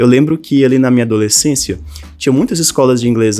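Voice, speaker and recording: Medium in pitch with ordinary pitch variation, a man talks in an ordinary speaking voice. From Brazil, northern Minas Gerais. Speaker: language teacher and online creator. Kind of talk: personal story monologue to camera. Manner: casual, conversational.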